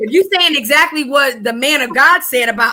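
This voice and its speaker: A woman with a high pitch talks fairly quickly in a raised, projected voice, her tone animated and her intonation lively. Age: 40s. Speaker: guest sharing personal story of adversity. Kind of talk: testimony.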